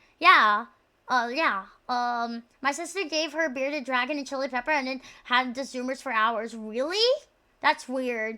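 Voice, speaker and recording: In a very clean recording with a silent background, a woman uses a raised, projected voice with a bright, sharp tone and ordinary pitch variation. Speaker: vtuber streamer. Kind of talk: casual live stream chat. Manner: stuttering, halting; fast, animated.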